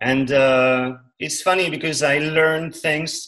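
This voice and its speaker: A man speaks in a French accent at a fairly high pitch, his intonation monotone and flat. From central France. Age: 30s. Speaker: musician. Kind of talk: interview.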